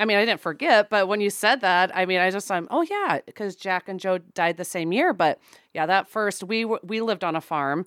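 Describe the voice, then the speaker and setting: On a very clean recording with a silent background and a dry, close sound with no echo, a woman with an ordinary speaking voice talks fairly quickly at a medium pitch with ordinary pitch variation. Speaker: podcast co-host. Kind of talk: casual interview chat.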